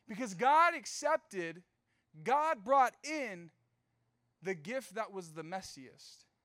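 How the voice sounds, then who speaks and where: An animated man with an American accent, high-pitched for a man, with a bright, sharp tone, a raised, projected voice, very wide pitch swings and long, frequent pauses. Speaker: youth pastor. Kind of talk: youth group sermon. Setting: church stage with live audience, also streamed. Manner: fast talker; animated, casual.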